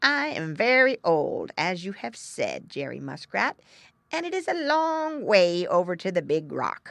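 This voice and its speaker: A put-on character voice comes through gruff and fairly high in pitch. It moves at a moderate pace against a quiet background. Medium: read story. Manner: pompous.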